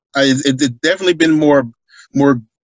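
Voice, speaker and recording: The speaker is a man with an American accent. He keeps to a moderate pace. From US South (Atlanta, Georgia). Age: 30s. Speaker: simulation football league player. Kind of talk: casual interview.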